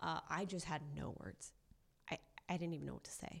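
A woman is speaking with an American accent. Her voice has vocal fry. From Southern California, Orange County. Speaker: sports and entertainment reporter. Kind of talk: casual chat. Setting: studio.

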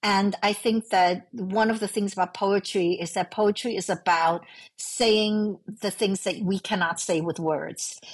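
A woman with a Chinese accent speaks at a fairly slow pace with a medium pitch and fairly even intonation. The recording is very clean, with a silent background. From New York City, raised from age five after emigrating from Hong Kong. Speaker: novelist. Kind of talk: casual interview chat.

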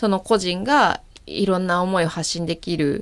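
There's a woman with a medium pitch on a very clean recording with a silent background. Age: 30s. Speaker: startup founder and CEO. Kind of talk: interview.

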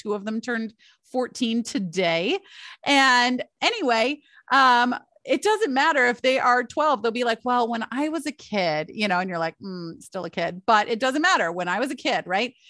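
A woman with an American accent speaks at a moderate pace and high pitch, her tone animated, bright and sharp, with very wide pitch swings. The sound is dry and close with no echo against a quiet background. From Michigan, US. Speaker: parenting podcast host and family coach. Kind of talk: solo podcast monologue.

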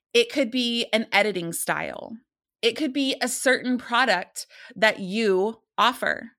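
A woman speaks at a fairly slow pace with a fairly high pitch. Her tone is bright and sharp, with ordinary pitch variation. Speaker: photography educator and podcast host. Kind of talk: solo podcast monologue. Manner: casual, candid, frequent filler words.

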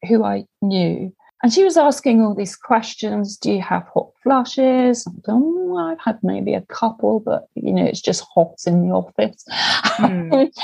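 A woman's somewhat breathy, fairly high voice with a dark, mellow tone, at a fairly slow pace. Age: 50s. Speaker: hiker. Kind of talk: casual chat. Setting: video call.

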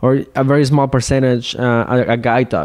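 At a fairly slow pace, a man speaks with fairly even intonation. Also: slightly mellow tone.

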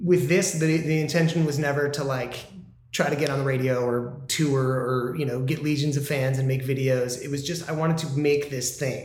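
Over noticeable background noise, a man with an American accent speaks at a moderate pace, fairly high in pitch and with fairly even intonation. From US Midwest. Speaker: musician.

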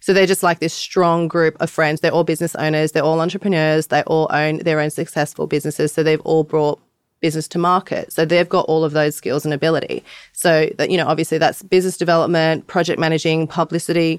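A woman with an Australian accent speaks at a very fast pace in a very deep, low voice, with monotone, flat intonation and very even loudness. The recording is very clean and dry, close, with no echo and a silent background. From Australia, Bondi (Sydney). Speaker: artist and NFT project founder. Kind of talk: interview. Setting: live event in LA.

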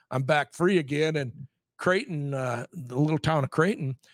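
With an American accent, a man has an ordinary speaking voice at a fairly high pitch with ordinary pitch variation, recorded with a dry, close sound and no echo. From rural Nebraska. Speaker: retired high school football coach. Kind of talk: casual interview.

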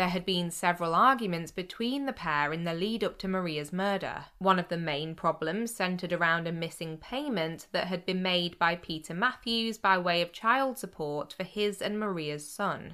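Speaking with a British accent, a woman uses a bright, sharp, serious tone at medium pitch, keeping a moderate pace with hardly any pauses and ordinary pitch variation. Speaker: podcast host. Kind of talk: true-crime narration, scripted storytelling. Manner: measured, steady storyteller pace; sombre and serious, with a hint of disapproval.

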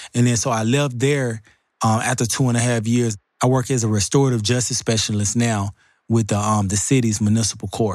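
A man with a medium-pitched voice talks at a fairly quick pace with fairly even intonation. The recording is very clean, with a silent background. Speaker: wrongfully convicted advocate, restorative justice worker. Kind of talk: interview testimony.

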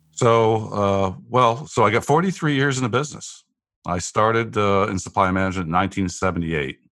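The delivery moves at a moderate pace with lively intonation. The background is quiet. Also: man, fairly low pitch for a man. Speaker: business executive. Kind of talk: interview. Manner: halting.

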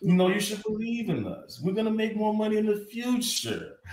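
A man with a high-pitched voice talks while noticeable background noise can be heard. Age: 40s. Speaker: podcast co-host. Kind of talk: casual chat.

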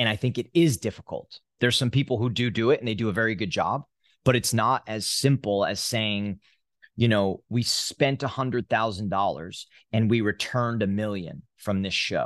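A man's voice, with a dry, close sound, no echo, and a quiet background. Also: medium pitch for a man, ordinary pitch variation, moderate pace. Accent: New Jersey. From US Northeast, New Jersey. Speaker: exhibit company CEO. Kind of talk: interview.

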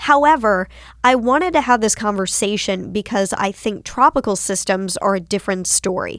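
A woman with an American accent talks at a moderate pace in a medium pitch, in an unremarkable speaking voice. Her intonation is lively, and the recording is very clean with a silent background. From North Carolina, Winston-Salem. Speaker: TV meteorologist. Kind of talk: casual interview.

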